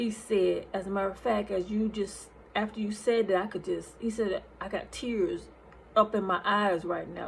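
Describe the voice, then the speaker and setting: A woman speaks at medium pitch with vocal fry and a moderate pace. Her intonation stays monotone and flat. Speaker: nurse and online minister. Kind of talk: testimony. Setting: recorded on lunch break.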